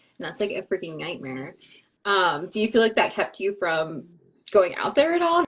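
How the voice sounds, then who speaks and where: This woman has a normal speaking voice at medium pitch. She talks at a moderate pace with lively intonation. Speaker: podcast host. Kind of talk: podcast interview questions. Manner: casual, chatty.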